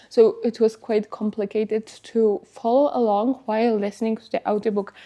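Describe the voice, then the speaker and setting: Fairly slow, fairly even speech in a Polish accent, dark and mellow in tone, over a quiet background. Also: woman. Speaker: lifestyle vlogger. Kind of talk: casual vlog talk. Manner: hesitant with filler words.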